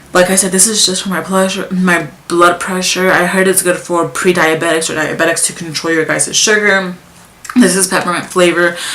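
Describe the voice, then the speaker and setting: A woman's medium-pitched, monotone, flat delivery amid noticeable background noise and audible room echo. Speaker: vlogger. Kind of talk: casual vlog talk. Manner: fast; halting.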